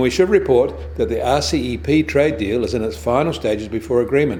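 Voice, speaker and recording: A man talks at a fairly quick pace. His tone is dark and mellow, with vocal fry. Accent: New Zealand. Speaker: financial news presenter. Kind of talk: business news bulletin read.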